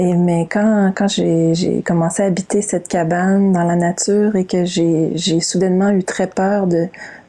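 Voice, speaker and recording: In a Quebec accent, a woman with a dark, mellow tone and a medium pitch speaks fairly slowly in monotone, flat intonation, with hardly any pauses and very even loudness. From Quebec, Montreal. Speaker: novelist and environmental activist. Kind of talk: interview. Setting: video call. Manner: halting.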